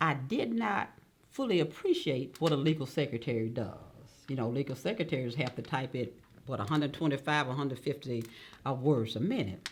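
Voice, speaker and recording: A woman talks at a fairly quick pace in a very deep, low pitch with a Mississippi accent. Her pitch varies an ordinary amount. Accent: Mississippi Southern US. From Mississippi Delta. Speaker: judge. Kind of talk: oral history interview.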